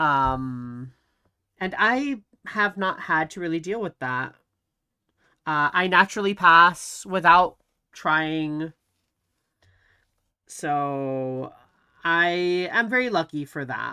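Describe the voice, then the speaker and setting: In a very clean recording with a silent background, a woman with a fairly low, bright, sharp voice speaks at a very slow pace, with lively intonation and long, frequent pauses. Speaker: vtuber streamer. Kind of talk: casual chat. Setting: live stream. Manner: soft-spoken.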